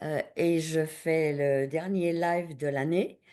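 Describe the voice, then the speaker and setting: A woman speaks at a very slow pace with a fairly low pitch. Her tone is dark and mellow. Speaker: workshop participant. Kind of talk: workshop exercise. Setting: video call from home attic.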